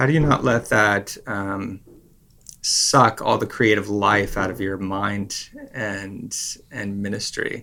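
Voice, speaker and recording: A man with a Canadian accent speaks in a bright, sharp tone at a fairly low pitch. His pace is very slow and his intonation fairly even. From Vancouver, Canada. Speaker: pastor. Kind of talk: casual chat.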